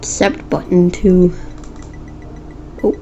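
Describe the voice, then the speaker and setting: Noticeable background noise sits behind a woman's voice. Her pitch is fairly low and her intonation monotone and flat. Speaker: programming tutorial YouTuber. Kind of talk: tutorial. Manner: halting, self-correcting; casual.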